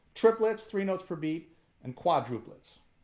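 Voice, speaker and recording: A man speaks with an American accent. His intonation is lively. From US, Punjabi family. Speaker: musician teaching a workshop. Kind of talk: online workshop. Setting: video call. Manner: fast.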